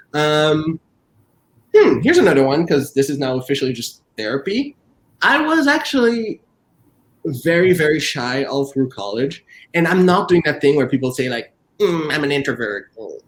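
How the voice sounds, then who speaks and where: At a moderate pace, the speaker pauses often and at length, with pitch that varies in an ordinary way. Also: man, fairly high pitch for a man. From Quebec, Montreal (Haitian family). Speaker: author and professor. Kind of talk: virtual book event interview. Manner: talkative.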